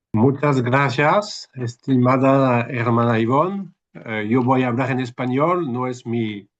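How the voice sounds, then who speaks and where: Against a quiet background, a man with a French accent talks at a fairly slow pace with a medium pitch and ordinary pitch variation. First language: French (speaking Spanish). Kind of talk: webinar talk. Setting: video call. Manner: halting.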